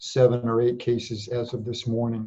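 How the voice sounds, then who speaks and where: A man's somewhat breathy, dark, mellow voice at medium pitch. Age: 60s. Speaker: public health director. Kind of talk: interview. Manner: halting.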